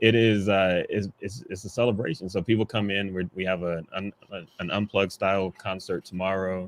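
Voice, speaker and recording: Man with fairly even intonation, heard in a dry, close sound with no echo. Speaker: photographer and festival organizer. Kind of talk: casual panel conversation.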